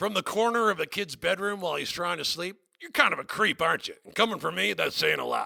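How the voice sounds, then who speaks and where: A man puts on a character voice with a high pitch. He speaks at a very fast pace. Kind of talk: comedy talk show interview. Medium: role play. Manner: brash, manic.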